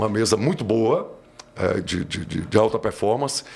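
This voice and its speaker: Speaking at a fairly slow pace, the man uses lively intonation. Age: 60s. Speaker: audio engineer. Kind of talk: interview conversation.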